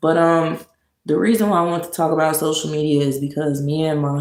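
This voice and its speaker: Audible room echo surrounds a woman with a very deep, low pitch and fairly even intonation. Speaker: live streamer. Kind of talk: casual live stream talk. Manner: sluggish.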